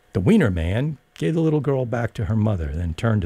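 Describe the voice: The clip consists of plain reading aloud.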